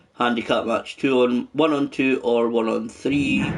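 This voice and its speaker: The man's voice sits at a medium pitch with fairly even intonation. Noticeable background noise is present. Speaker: gaming YouTuber. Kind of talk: game live stream commentary. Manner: casual, hesitant with many fillers.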